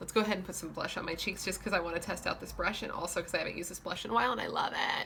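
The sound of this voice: Over light background noise, a woman in a put-on character voice rattles along very fast with hardly any pauses, her medium-pitched delivery croaky and raspy.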